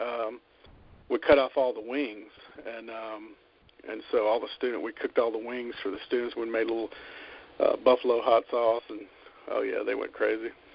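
A man talks with long, frequent pauses and big swings in loudness. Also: moderate pace. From Alabama. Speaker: chef and caterer. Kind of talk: interview.

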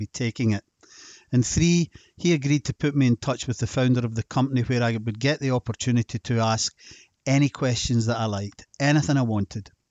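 A man at a medium pitch, talking at a fairly quick pace with fairly even intonation. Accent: Scottish. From Scotland. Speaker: health podcast host and supplement seller. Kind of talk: scripted narration.

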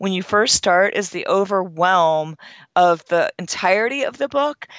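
In an ordinary speaking voice, a woman talks at a medium pitch with lively intonation. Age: 50s. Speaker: fitness expert and author. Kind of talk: interview.

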